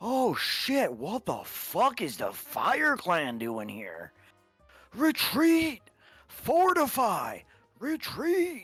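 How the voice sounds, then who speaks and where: Music plays in the background as a put-on character voice with a fairly high pitch speaks at a very slow pace. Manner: panicked, shouting.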